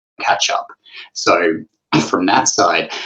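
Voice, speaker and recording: An Australian accent colors this speech. The speaker is a man. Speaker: investment director. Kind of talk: panel discussion.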